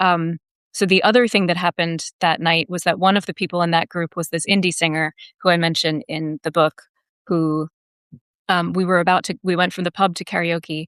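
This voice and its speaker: A woman with an American accent and an unremarkable speaking voice, fairly low in pitch, at a fairly quick pace with fairly even intonation, in a dry, close sound with no echo. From United States. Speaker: author. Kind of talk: interview conversation. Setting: live video stream.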